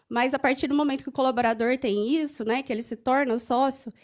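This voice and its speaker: A woman speaks in a high pitch with a slight Minas Gerais accent. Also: very clean recording, silent background. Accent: slight Minas Gerais (mineiro) tinge. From Franca, interior of São Paulo state, Brazil. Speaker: HR compensation manager. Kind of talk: conference panel talk.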